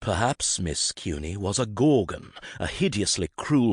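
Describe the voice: Someone is reading aloud. The delivery is plain.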